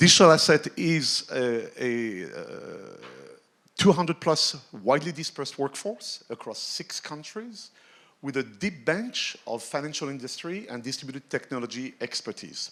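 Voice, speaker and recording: A man's fairly high voice with a bright, sharp tone, lively intonation, big swings in loudness and a moderate pace, on a very clean recording with a silent background. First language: French. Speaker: tech executive, conference speaker. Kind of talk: keynote talk.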